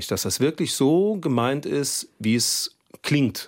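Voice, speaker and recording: Marked by vocal fry, a man's medium-pitched voice moves through very wide pitch swings. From Saarland. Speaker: TV news presenter. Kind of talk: casual studio conversation. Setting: radio studio.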